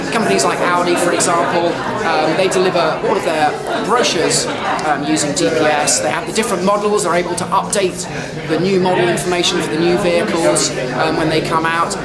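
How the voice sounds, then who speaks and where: Over crowd noise in the background, a man talks at a fairly quick pace. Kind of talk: interview answer. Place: hall.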